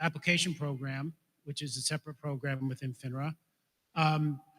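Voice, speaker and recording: Talking at a fairly quick pace, a man speaks with an American accent. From New York. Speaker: financial regulator speaker. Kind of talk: conference presentation. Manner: fast.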